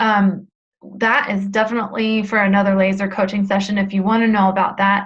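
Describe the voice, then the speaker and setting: A woman talks fairly quickly at a medium pitch, somewhat breathy. Her intonation stays flat and monotone. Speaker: weight loss coach. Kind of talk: webinar coaching talk. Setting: live webinar.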